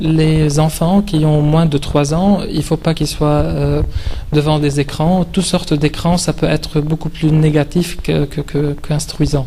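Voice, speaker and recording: Against noticeable background noise, a man with a fairly high voice talks at a fairly slow pace in a monotone, flat intonation, his loudness very even. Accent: non-native. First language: not French (speaking French). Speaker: video game specialist, speaker. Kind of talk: conference talk. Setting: conference hall with audience, standing. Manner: halting, many hesitations.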